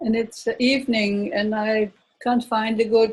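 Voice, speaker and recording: With a Dutch accent, a woman speaks at a fairly high pitch and with fairly even intonation. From Netherlands. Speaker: workshop participant. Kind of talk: casual chat. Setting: video call. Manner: halting.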